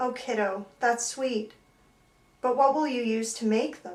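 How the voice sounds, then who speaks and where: A woman puts on a character voice, speaking fairly slowly at a high pitch. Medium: read story. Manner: warm but strained.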